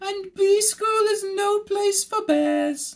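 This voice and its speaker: An extremely high, squeaky, put-on character voice drags along at a very slow pace. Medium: read story. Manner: regal.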